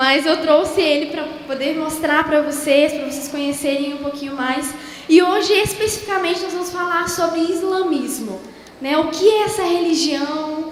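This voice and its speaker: Amid noticeable background noise and audible room echo, a woman with an extremely high pitch and a warm tone speaks at a moderate pace with ordinary pitch variation. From southern Brazil (Rio Grande do Sul). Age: young. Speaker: missionary speaker. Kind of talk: sermon. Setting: church. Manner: warm, conversational.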